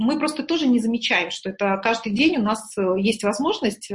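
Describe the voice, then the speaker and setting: There's a somewhat breathy quality to this voice. The pace is moderate. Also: woman. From Murmansk, northern Russia. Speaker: executive coach and trainer. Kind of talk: interview.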